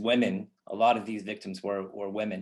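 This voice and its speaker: A man with an American accent, medium in pitch, at a moderate pace with fairly even intonation, against a quiet background. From US, Los Angeles. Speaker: filmmaker and activist. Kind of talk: conference talk. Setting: online conference. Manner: hesitant, many fillers.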